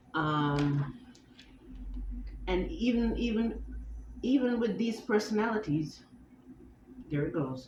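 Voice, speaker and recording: A woman's medium-pitched voice with vocal fry and very wide pitch swings, very slow and broken by long, frequent pauses, in a room with audible echo. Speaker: vlogger. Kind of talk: personal vlog monologue. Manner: halting with tics and self-corrections.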